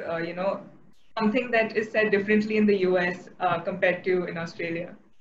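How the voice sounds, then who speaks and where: At a fairly quick pace, a woman speaks at medium pitch with ordinary pitch variation, and audible room echo surrounds her. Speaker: podcast host. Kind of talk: interview.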